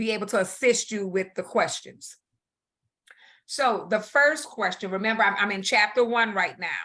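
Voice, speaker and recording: Against a quiet background, a woman with a normal speaking voice talks at a fairly high pitch with fairly even intonation. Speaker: instructor. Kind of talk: online class review session. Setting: video call. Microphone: video call.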